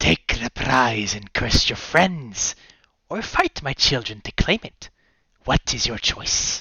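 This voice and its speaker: A man's put-on character voice at medium pitch, growling, with lively intonation, big swings in loudness and a fairly slow pace. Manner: snarling.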